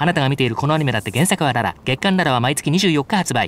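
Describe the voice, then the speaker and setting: Lively intonation runs through speech delivered at a very fast pace. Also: man, fairly high pitch for a man. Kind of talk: TV commercial read. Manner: energetic, passionate.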